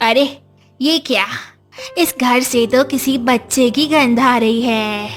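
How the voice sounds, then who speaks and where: Cackling in a put-on character voice, a woman speaks high in pitch with a menacing tone at a fairly slow pace, while faint music plays in the background. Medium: cartoon. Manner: cackling, menacing.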